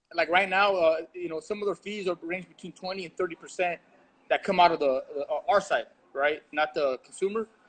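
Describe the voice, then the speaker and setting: The sound is dry and close with no echo as a man speaks at a high pitch, at a fairly quick pace and with fairly even intonation. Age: 40s. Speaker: restaurant owner. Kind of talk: casual chat. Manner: halting.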